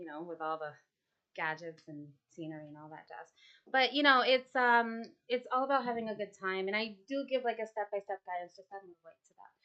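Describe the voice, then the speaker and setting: A woman's normal speaking voice, medium in pitch, at a fairly quick pace, with lively intonation and big swings in loudness. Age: 30s. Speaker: artist and paint class instructor. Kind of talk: casual interview chat. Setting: art studio, live stream.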